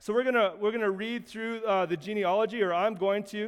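This man has a Canadian accent and a high pitch. He speaks at a moderate pace with fairly even intonation. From Canada. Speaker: pastor. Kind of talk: sermon.

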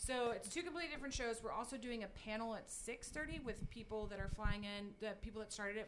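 A woman with an American accent speaks at a fairly quick pace, her fairly high pitch showing ordinary variation, with audible room echo around her. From Texas, Highlands (rural Houston area). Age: 30s. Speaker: podcast guest, community event organizer. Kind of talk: casual chat.

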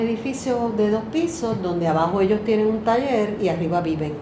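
A woman speaks at a moderate pace with lively intonation. Noticeable background noise and audible room echo surround her voice. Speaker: artist, teacher and singer. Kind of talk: casual chat. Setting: in person in San Juan.

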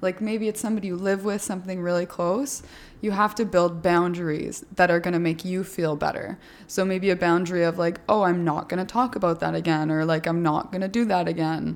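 A woman speaks at a fairly quick pace with an ordinary speaking voice and a fairly low pitch. The recording is very clean, with a silent background. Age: 20s. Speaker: fitness podcast host and influencer. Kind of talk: podcast interview.

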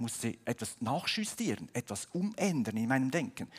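Very clean recording with a silent background of a man's fairly high, somewhat breathy voice, fairly slow, with very wide pitch swings. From Switzerland. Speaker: pastor. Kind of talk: sermon. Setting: church service, livestreamed.

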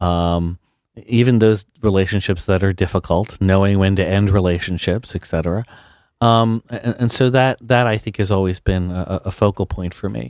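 With an American accent, a man talks at a moderate pace and a fairly low pitch, using ordinary pitch variation in a dry, close recording with no echo. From South Jersey, US. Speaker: university president. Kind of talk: radio interview.

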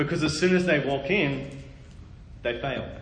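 A man with an Australian accent talks at a fairly slow pace and a fairly high pitch with ordinary pitch variation. Audible room echo and noticeable background noise are present. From Australia, Melbourne. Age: 20s. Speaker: preacher. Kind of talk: sermon. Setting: church. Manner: animated.

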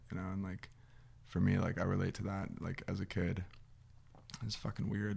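The speaker is a man with a fairly low pitch. He talks in a General American accent. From Arizona, Scottsdale. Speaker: former football player. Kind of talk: casual chat.

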